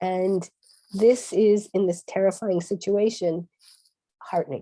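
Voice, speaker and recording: A dark, mellow tone in an American accent, with fairly even intonation at a very slow pace. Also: woman. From United States. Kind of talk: panel discussion.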